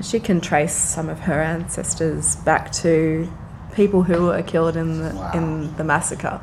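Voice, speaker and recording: With audible room echo and noticeable background noise, a woman speaks in an Australian accent at a fairly slow pace, her fairly low pitch held in fairly even intonation. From Australia, Frankston near Melbourne. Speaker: dancer and choreographer. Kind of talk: casual interview.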